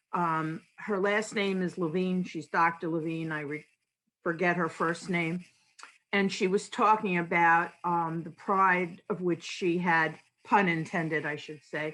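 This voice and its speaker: At a fairly slow pace, a woman with a fairly low pitch and a bright, sharp tone keeps her intonation fairly even. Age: 60s. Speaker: audience member at a panel. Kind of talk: audience comment in an online panel discussion.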